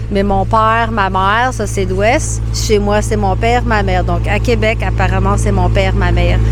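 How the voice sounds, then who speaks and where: Music plays behind a woman whose very deep, low voice moves at a fairly slow pace with hardly any pauses. Her intonation is monotone and flat, and her loudness stays very even. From New Brunswick, Canada (Edmundston). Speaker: Quebec French teacher. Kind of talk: casual interview chat.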